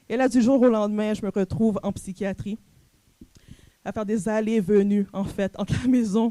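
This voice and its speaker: A woman's dark, mellow voice in a Canadian French accent, medium in pitch, with fairly even intonation, a moderate pace, and a dry, close sound with no echo. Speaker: coach and entrepreneur, conference speaker. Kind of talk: personal testimony talk at a conference.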